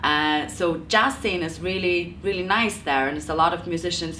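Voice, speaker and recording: At a fairly quick pace, a woman with a fairly low voice talks with ordinary pitch variation. Room echo is audible. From Lithuania. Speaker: jazz singer and music teacher. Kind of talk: interview. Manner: halting.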